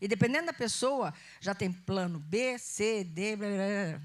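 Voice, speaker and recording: A woman with a slight Goiás accent speaks at a fairly slow pace. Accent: slight Goiás accent picked up. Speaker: pastor. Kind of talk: sermon. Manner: conversational.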